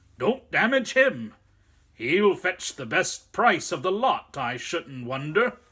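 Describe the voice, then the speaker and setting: A man's put-on character voice, high-pitched and fairly slow, with very wide pitch swings. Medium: read story. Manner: rough, colloquial, jovial.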